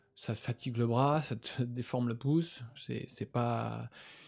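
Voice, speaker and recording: A man with a medium-pitched, somewhat breathy voice talks with ordinary pitch variation. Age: 30s. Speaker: osteopath. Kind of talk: casual chat. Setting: gym.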